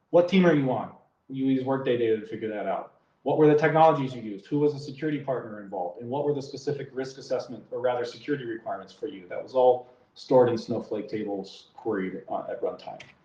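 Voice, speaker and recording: A man speaks very fast at medium pitch in a dark, mellow, somewhat breathy tone. His loudness swings widely while his pitch varies in an ordinary way. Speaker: security engineering leader, conference speaker. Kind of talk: conference talk. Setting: virtual conference.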